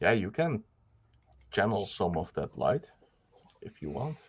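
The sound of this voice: Fairly low in pitch, this man's voice has a fairly bright tone.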